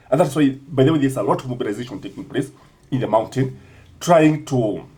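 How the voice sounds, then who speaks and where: Very fast and somewhat breathy, a man speaks at a medium pitch with a dark, mellow tone and ordinary pitch variation. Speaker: political commentator. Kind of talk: political commentary vlog.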